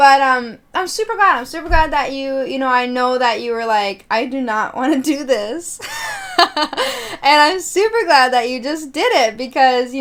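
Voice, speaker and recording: Noticeable background noise surrounds a woman speaking at a high pitch and a moderate pace in an animated tone with ordinary pitch variation. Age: 20s. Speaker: podcast host. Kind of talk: casual chat.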